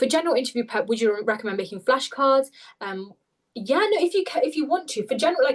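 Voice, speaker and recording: With a British accent, a woman talks in lively intonation. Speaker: webinar presenter, medical interview tutor. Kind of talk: webinar Q&A. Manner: fast; frequent filler words.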